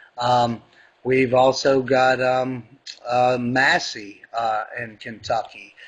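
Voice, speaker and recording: A man talks at a medium pitch. His pace is very slow. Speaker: political activist. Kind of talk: impassioned political speech. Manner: loud, near yelling; animated.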